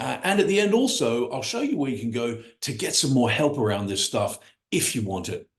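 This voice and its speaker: A man speaks at a fairly quick pace in a medium pitch, his enthusiastic delivery swinging very widely in pitch, with audible room echo. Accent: American. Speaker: business coach. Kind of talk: online workshop presentation. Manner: fast.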